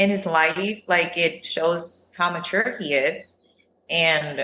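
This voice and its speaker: In a Spanish accent, a woman speaks at a fairly low pitch. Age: 30s. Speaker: reality TV contestant. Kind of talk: casual chat.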